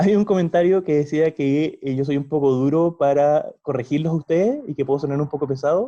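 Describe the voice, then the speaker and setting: Dark, mellow tone from a man pitched fairly high. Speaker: university law lecturer. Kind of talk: lecture. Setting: video call. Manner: fast.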